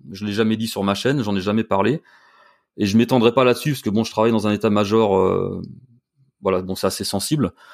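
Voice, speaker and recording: On a very clean recording with a silent background, a man with a fairly low pitch talks at a very fast pace with fairly even intonation and long, frequent pauses. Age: 50s. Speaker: YouTuber and cosplay performer. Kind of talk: casual interview.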